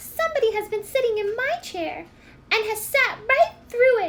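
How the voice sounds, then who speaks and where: A woman does a put-on character voice. Her pitch is extremely high. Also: moderate pace. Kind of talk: storytelling.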